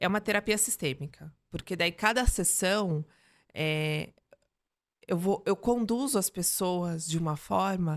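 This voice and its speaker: The recording is very clean, with a silent background. A woman speaks at medium pitch, a normal speaking voice. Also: ordinary pitch variation, fairly slow pace. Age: 40s. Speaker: mentor and speaker. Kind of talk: interview.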